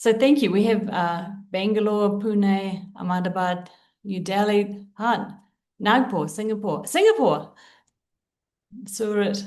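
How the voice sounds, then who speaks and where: A woman's very slow, fairly even delivery with a New Zealand accent, long, frequent pauses, and audible room echo. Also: medium pitch for a woman. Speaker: leadership coach and trainer. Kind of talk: webinar presentation.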